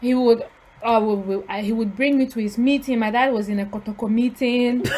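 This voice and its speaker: A woman at a fairly high pitch and a fairly quick pace, intonation fairly even, with noticeable background noise. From Ghana. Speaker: podcast co-host. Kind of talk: casual chat.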